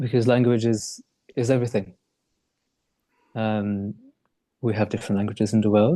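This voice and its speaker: A man's fairly low, dark, mellow voice at a moderate pace, with fairly even intonation and long, frequent pauses. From France. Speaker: founder of devotional arts institute, teacher. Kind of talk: interview conversation.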